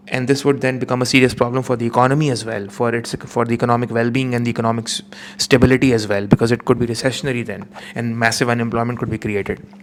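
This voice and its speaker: Over noticeable background noise, a man talks very fast at a medium pitch. His delivery is monotone and flat. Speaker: economics teacher. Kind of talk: revision lecture.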